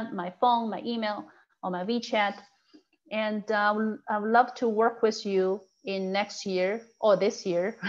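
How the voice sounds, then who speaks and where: A woman with an ordinary speaking voice at medium pitch, with ordinary pitch variation and a fairly slow pace against a quiet background. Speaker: title company rep giving a real estate tech class. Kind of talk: online training class.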